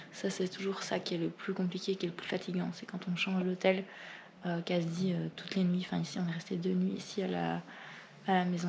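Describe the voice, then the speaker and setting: A woman is whispering. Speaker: travel vlogger. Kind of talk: vlog. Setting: hotel room.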